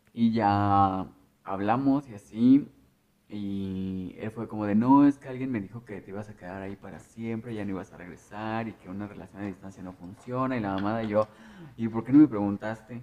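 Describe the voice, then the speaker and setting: A man with a plain, everyday voice talks at a moderate pace in a fairly low pitch. His intonation stays fairly even while his loudness swings widely. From Mexico, small rural town near León. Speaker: podcast co-host. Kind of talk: casual chat.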